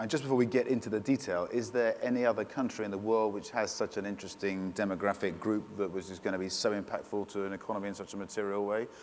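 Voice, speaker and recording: A man with a British accent speaks very fast at a fairly low pitch, with fairly even intonation and hardly any pauses. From Britain. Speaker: panel moderator, media executive. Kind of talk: panel discussion. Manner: halting, many fillers.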